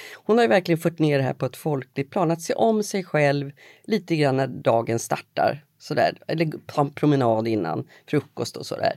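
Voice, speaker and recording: On a very clean recording with a silent background, a woman with a very deep, low pitch speaks at a moderate pace, her dark, mellow tone carried by lively intonation. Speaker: journalist and podcast host. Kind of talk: interview conversation.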